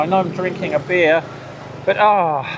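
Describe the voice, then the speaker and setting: A man speaks with an English accent. Noticeable background noise can be heard. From UK. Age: 60s. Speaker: cycling vlogger. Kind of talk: casual vlog. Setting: outdoors by a roadside.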